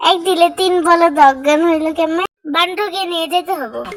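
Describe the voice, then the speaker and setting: A woman puts on a character voice pitched extremely high. She holds a moderate pace with fairly even intonation. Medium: fan dub. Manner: brash, boisterous.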